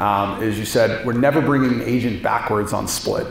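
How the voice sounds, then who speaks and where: A man's voice with ordinary pitch variation, strong room echo, and light background noise. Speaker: real estate manager and event host. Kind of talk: speaker introduction and Q&A. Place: meeting room. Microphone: handheld.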